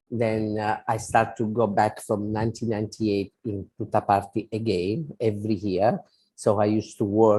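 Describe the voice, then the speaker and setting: Against a quiet background, a man with an Italian accent speaks at a moderate pace in a monotone, flat delivery, his fairly low voice dark and mellow in tone. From Italy. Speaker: spiritual devotee and volunteer. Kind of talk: interview. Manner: halting.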